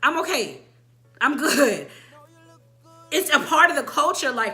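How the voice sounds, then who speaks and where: In a raised, projected voice, a woman speaks at a fairly slow pace, her high pitch showing ordinary variation. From military kid, moved between countries. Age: 20s. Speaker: vlogger. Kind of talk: casual chat.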